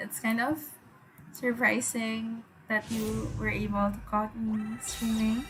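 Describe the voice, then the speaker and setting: Over noticeable background noise and audible room echo, a woman with a fairly high voice speaks at a very slow pace. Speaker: gaming streamer. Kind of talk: live gameplay stream chat. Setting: at home. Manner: casual, hesitant.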